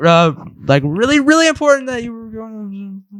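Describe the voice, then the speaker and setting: Pitch swings very widely as this man talks. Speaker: podcast host. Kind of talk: casual chat. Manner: soft-spoken.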